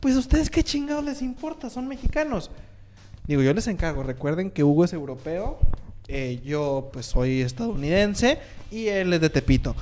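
A man speaks in a high pitch, swinging very widely up and down. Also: moderate pace. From Monterrey, Mexico. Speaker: podcast co-host and editor. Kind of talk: casual chat.

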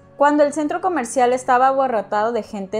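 A woman speaks fairly quickly in an unremarkable speaking voice, her pitch varying in an ordinary way. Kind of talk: true-crime narration, reading a written script about a child murder case. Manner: even, measured storytelling pace, serious and factual; reads aloud from notes, with occasional self-corrections.

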